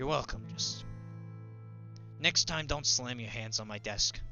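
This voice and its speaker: Over clear background music, a man uses a put-on character voice at a moderate pace. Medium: actual play. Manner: gruff, plainspoken.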